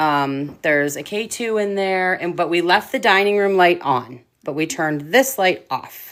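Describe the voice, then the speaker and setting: Speaking at a moderate pace with hardly any pauses, a woman with a fairly low pitch uses lively intonation on a very clean recording with a silent background. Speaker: paranormal investigator. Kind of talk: casual chat. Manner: loud.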